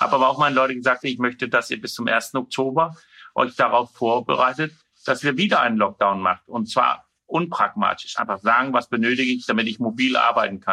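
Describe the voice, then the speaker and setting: A man's bright, sharp tone at a fairly quick pace, with ordinary pitch variation against a quiet background. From Denmark. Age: 40s. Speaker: mayor. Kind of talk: interview.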